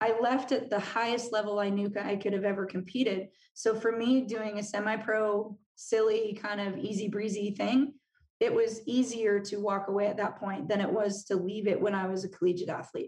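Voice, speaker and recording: A woman at medium pitch, somewhat breathy, speaks at a moderate pace in a Californian accent. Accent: General American (Californian). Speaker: business coach and former college soccer player. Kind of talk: interview conversation.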